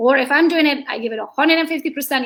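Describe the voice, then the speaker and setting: With a Hungarian accent, a woman speaks at a very fast pace. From Hungary. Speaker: real estate agent. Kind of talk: interview. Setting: live video stream. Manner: animated.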